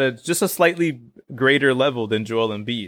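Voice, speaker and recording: Lively in intonation, a man talks in a normal speaking voice at a moderate pace. The recording is very clean with a silent background. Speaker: podcast co-host. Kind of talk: casual chat. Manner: joking banter.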